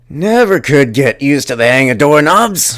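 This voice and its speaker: A man adopts a put-on character voice, pitched fairly high and delivered at a moderate pace. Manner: sighing.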